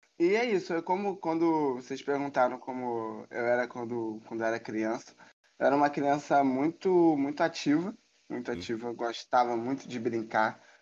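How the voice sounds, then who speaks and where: A man of medium pitch speaks at a moderate pace with ordinary pitch variation against a quiet background. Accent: Carioca. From Rio de Janeiro, Brazil (Tijuca). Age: 30s. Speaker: photographer. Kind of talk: casual interview chat.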